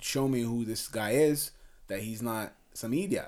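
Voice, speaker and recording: Pitched at a medium level, a man talks in an unremarkable speaking voice. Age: 20s. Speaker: podcast host. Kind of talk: casual chat.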